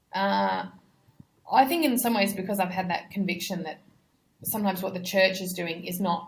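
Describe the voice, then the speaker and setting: A woman with an Australian accent talks at a moderate pace with fairly even intonation and long, frequent pauses. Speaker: missionary. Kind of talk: interview conversation. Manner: hesitant, repeats words.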